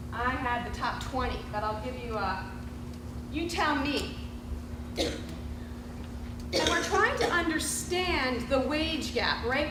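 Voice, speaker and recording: A woman speaks very slowly in a room with audible echo and noticeable background noise. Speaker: professor. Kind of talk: lecture. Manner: animated. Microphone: no microphone.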